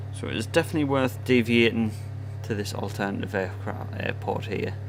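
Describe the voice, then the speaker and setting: A man with a northeast English accent speaks with a fairly low pitch and fairly even intonation. Music plays in the background, and there is audible room echo. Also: fairly quick pace. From northern England, Sunderland area. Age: 20s. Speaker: gaming streamer. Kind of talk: live stream commentary. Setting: live stream. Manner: casual.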